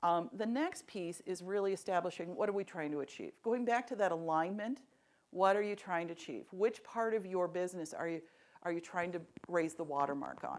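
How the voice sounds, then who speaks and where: A woman speaks at a fairly quick pace with a medium pitch and ordinary pitch variation. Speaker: executive coach. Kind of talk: presentation to audience. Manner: fast.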